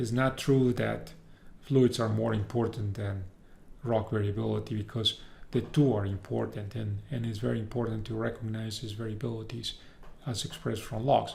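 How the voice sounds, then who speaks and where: At a moderate pace, a man with a medium pitch speaks in a flat, monotone way, his voice somewhat breathy and the room echo audible. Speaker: university professor. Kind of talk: lecture. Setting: recorded video lecture.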